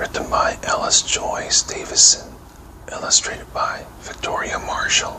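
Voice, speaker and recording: Someone is whispering at a fairly slow pace over noticeable background noise. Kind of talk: bedtime story reading. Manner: whispered.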